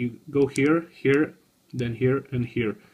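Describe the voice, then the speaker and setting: Speaking with a non-native accent, a man talks at a fairly slow pace in a somewhat breathy voice. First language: not English. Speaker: tech hobbyist video maker. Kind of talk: tutorial. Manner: halting.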